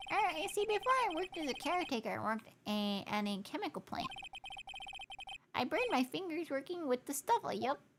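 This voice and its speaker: A put-on character voice, high in pitch with very wide pitch swings, moves at a fairly quick pace. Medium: virtual streamer. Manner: hesitant, stammering.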